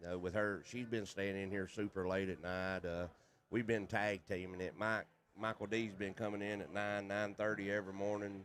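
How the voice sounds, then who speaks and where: A man with a Southern US accent speaks at a moderate pace in a fairly low pitch, his intonation monotone and flat. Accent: Southern hillbilly. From US South, North Carolina. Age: 50s. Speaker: pool player and commentator. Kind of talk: casual chat.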